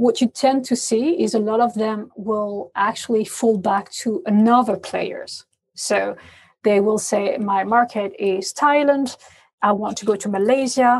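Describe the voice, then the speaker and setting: Fairly high in pitch, a woman's voice comes out somewhat breathy. She talks at a fairly slow pace with ordinary pitch variation. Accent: French. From France. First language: French. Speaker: payments industry expert. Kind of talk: interview.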